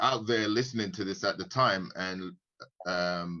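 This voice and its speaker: A man with a bright, sharp tone talks at a moderate pace using lively intonation. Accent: British. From UK. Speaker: forex trader and investor. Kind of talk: casual live-stream chat. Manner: halting, many fillers and repeats.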